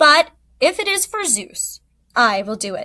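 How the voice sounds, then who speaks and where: A woman puts on a character voice, speaking at a moderate pace with a high pitch. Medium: read story. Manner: slow.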